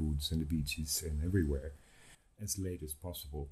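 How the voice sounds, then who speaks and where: Very deep and low, a man's somewhat breathy voice has a dark, mellow tone and a Dutch accent. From Netherlands. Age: 60s. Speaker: guest, historian. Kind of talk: casual interview chat.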